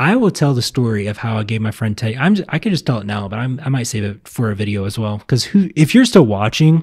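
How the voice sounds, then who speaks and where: With an American accent, a man speaks at medium pitch and a very fast pace, somewhat breathy and with lively intonation, on a very clean recording with a silent background. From Virginia, US South. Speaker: vlogger. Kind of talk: casual chat.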